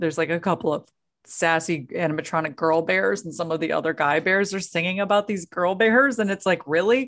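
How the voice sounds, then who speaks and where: At a moderate pace, a woman speaks in a normal speaking voice with a fairly low pitch and ordinary pitch variation. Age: 40s. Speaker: podcast co-host. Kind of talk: casual chat.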